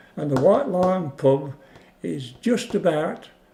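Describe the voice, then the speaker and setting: With an English Midlands accent, a man speaks at a high pitch. His pace is very slow. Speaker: war-time witness, oral history interviewee. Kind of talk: oral history interview answer.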